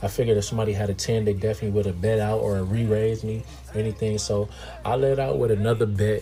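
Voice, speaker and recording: Against noticeable background noise, a man with a fairly low pitch speaks at a very fast pace and ordinary pitch variation. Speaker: poker vlogger. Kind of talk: casual vlog commentary on poker hands. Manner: slurring words.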